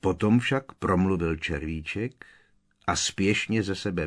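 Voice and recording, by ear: With ordinary pitch variation, the speaker reads aloud in a natural voice.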